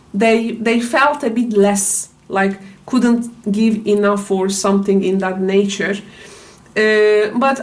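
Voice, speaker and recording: A very slow, fairly evenly intoned voice with a non-native accent, over noticeable background noise. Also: woman. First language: not English. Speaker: tarot reader. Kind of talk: tarot reading. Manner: halting, many fillers.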